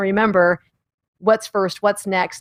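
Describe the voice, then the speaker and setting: Her pace is fairly quick and her pitch medium, varying in an ordinary way. The woman's sound is dry and close, with no echo. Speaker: live streaming production presenter. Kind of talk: casual instructional chat. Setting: live stream. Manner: loud.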